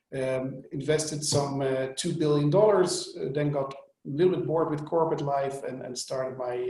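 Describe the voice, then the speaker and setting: A man at a moderate pace, with fairly even intonation and audible room echo. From Netherlands. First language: Dutch. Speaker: venture capital partner. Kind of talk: investment webinar presentation. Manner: hesitant, many fillers and repeats.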